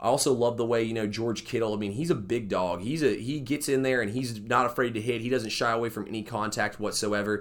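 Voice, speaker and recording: A man with an American accent at medium pitch, very fast and energetic, with hardly any pauses. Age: 20s. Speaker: sports podcast host. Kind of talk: solo sports commentary podcast. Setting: studio. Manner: casual, energetic.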